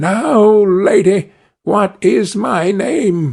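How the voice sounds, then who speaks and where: This man uses a put-on character voice pitched high. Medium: read story.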